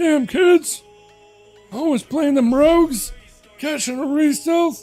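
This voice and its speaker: Faint music plays behind a man doing a put-on character voice at a fairly slow pace. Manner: grumpy, complaining.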